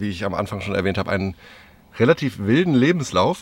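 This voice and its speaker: He has a plain, everyday voice at medium pitch. The man speaks at a fairly quick pace. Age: 30s. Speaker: podcast host, van traveller. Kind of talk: casual chat. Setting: inside a camper van on a parking lot.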